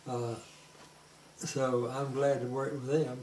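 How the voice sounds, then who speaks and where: Over noticeable background noise and audible room echo, a man speaks in a flat monotone at a fairly slow pace. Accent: Southern US. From US South (Georgia). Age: 80s+. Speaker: forester, grandfather. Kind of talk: family interview. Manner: halting, many fillers.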